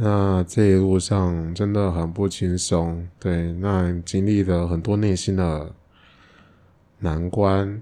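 A man's very deep, low voice, dark and mellow in tone, with monotone, flat intonation. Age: 30s. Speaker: crossdresser and father. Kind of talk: interview.

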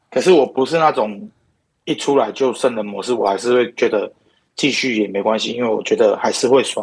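Here a man speaks in a normal speaking voice at a medium pitch. His pace is fairly quick, with ordinary pitch variation. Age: 30s. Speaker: podcast guest interviewee. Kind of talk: casual chat.

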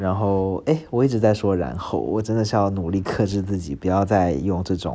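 Speaking at a moderate pace, a man uses a fairly low pitch and ordinary pitch variation, his tone dark and mellow. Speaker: podcast host. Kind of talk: casual solo monologue. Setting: at home, recording at 4:30 am. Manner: rambling with many fillers.

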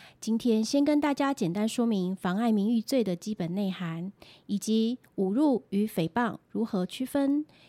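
In a very clean recording with a silent background, a woman with a fairly high voice and a dark, mellow tone speaks at a fairly slow pace with lively intonation, the sound dry and close with no echo. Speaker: lawyer. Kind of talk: scripted legal explainer podcast.

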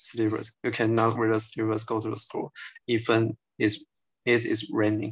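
The voice is somewhat breathy and monotone with flat intonation, moving at a moderate pace in a dry, close sound with no echo. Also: man, medium pitch for a man. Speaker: photographer. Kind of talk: casual discussion. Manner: halting.

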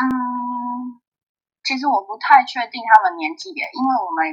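A woman's high-pitched voice at a fairly slow pace, with big swings in loudness. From Taiwan, Taipei. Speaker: table tennis player. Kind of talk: interview. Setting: remote call.

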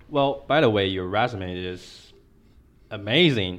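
A man speaks with a Taiwanese accent. His pitch varies in an ordinary way. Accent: Taiwanese Mandarin accent in English. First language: Mandarin Chinese. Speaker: podcast host. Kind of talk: interview. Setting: borrowed venue.

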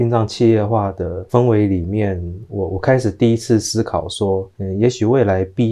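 A man at a fairly low pitch uses a normal speaking voice with fairly even intonation. His pace is moderate, and the background is quiet. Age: 30s. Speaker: pet funeral professional. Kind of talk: interview.

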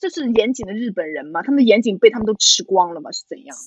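A woman talks at a very fast pace with very wide pitch swings. Her voice is high. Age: 20s. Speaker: podcast co-host. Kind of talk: casual chat.

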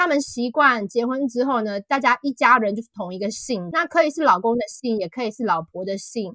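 Dry and close with no echo, a woman's voice sounds bright and sharp at a high pitch. She talks at a fairly quick pace. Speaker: author. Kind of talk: interview. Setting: online call.

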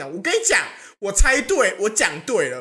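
Animated in tone, a woman races along at a very fast pace with very wide pitch swings over noticeable background noise. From Taiwan, Hsinchu. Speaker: podcast co-host. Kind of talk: casual chat.

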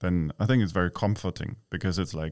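A man with a German accent speaks at a very deep, low pitch with ordinary pitch variation. The recording is very clean with a silent background and a dry, close sound with no echo. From East Berlin, Germany. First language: German (speaking Chinese). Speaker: expat living in Taiwan. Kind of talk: interview.

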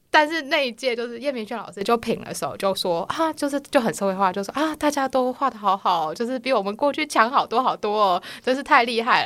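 Fairly quickly and with hardly any pauses, a woman speaks in a high voice with lively intonation. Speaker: comic artist. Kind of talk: casual chat.

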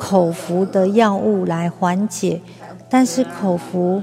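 Music can be heard in the background. The pitch varies in an ordinary way. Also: woman. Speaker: podcaster and cancer patient. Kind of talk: personal audio diary. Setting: hospital ward. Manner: raised voice to drown out noise.

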